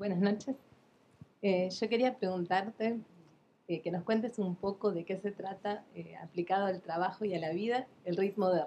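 Speaking with an Argentine accent, a woman uses a dark, mellow tone and fairly even intonation at a fairly slow pace, with long, frequent pauses. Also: medium pitch for a woman. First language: Spanish (speaking Portuguese). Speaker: instructor. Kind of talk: audience question.

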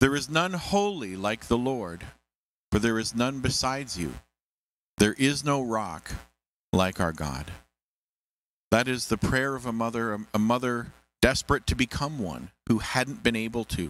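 A man at a fairly slow pace with long, frequent pauses and a dry sound with no echo. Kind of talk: church service address and scripture reading. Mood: warm, welcoming. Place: church. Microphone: handheld.

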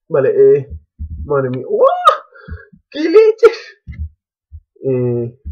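Speech comes at a very slow pace with long, frequent pauses. The speaker is a man. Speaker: gaming youtuber. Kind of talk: gameplay commentary. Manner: animated.

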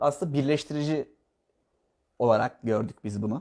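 Nothing much stirs in the quiet background. The man talks at a moderate pace. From Bodrum, Turkey; Turkey. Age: 20s. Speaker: architect; interviewee. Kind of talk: interview. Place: home room.

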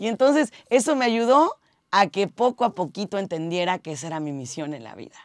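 This woman talks at a medium pitch and a fairly quick pace, with very wide pitch swings. The recording is very clean and dry, close with no echo, over a silent background. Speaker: radio host and content creator. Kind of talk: tips video monologue. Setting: radio booth. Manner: animated.

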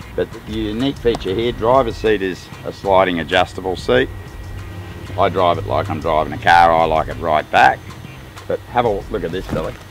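Faint music sits in the background of this dry recording with no echo. A man with a fairly low pitch speaks at a moderate pace with ordinary pitch variation. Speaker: presenter. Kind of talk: product walkaround commentary. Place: street.

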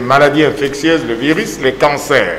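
A man's fairly high-pitched voice at a fairly slow pace, with audible room echo and light background noise. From DR Congo. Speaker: medical professor and lung specialist; medical professor. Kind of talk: TV interview. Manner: formal. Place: studio.

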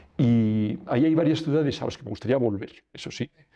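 A man talks with ordinary pitch variation. His tone is dark and mellow. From Spain. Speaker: lawyer; interviewee. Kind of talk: interview. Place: studio.

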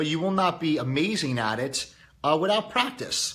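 This man has a bright, sharp tone. His intonation is lively. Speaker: YouTube host and motivational speaker. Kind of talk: casual daily monologue to audience.

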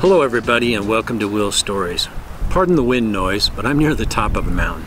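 There is noticeable background noise as a man speaks at a fairly quick pace, the sound dry with no echo. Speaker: motorcycle vlogger. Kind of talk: casual vlog chat. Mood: relaxed, enthusiastic. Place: open country. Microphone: phone near.

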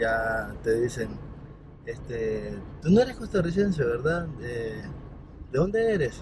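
Over noticeable background noise, a man speaks at a fairly slow pace with ordinary pitch variation and a dry sound with no echo. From Nicaragua, León; Nicaragua. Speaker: app-based taxi driver, lawyer; lawyer. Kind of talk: interview testimony. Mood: relaxed, smiling. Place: car.

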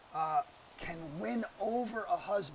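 A man speaks at a very slow pace in a high pitch. His pitch varies in an ordinary way, with light background noise behind him. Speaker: Bible teacher. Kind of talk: Bible teaching lecture.

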